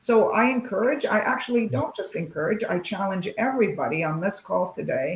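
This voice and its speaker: Over noticeable background noise, a woman speaks at a fairly quick pace with lively intonation. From Lebanon. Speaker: tech executive. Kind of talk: panel discussion. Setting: video call.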